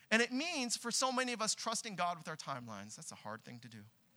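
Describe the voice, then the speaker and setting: A man with a Californian accent speaks in a raised, projected voice, his pitch high and his tone bright and sharp. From Southern California. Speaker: pastor. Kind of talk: sermon. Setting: church with congregation.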